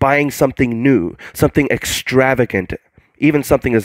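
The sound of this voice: The clip features an unforced reading voice. Behind it, the background stays quiet.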